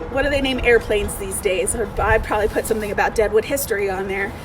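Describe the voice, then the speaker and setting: The voice belongs to a woman. Noticeable background noise runs under her speech. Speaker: museum education director. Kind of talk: craft tutorial for kids. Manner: loud; casual and encouraging.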